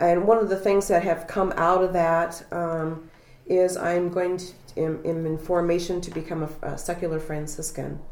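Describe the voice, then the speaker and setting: At a moderate pace, a woman with a fairly low voice speaks in a monotone, flat intonation. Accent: Midwestern US. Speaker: public health worker. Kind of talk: testimony. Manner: halting.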